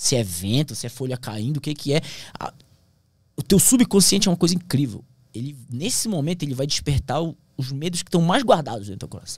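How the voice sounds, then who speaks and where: A man with a fairly high, somewhat breathy voice talks at a fairly quick pace with very wide pitch swings. The sound is dry with no echo, and the background is quiet. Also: big swings in loudness. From Brazilian Amazon. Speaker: pilot and plane crash survivor. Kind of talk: casual interview. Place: studio. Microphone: studio mic.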